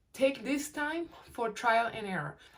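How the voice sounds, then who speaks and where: Behind noticeable background noise, a woman speaks high in pitch with lively intonation. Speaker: weight-loss vlogger. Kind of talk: casual talk-to-camera advice.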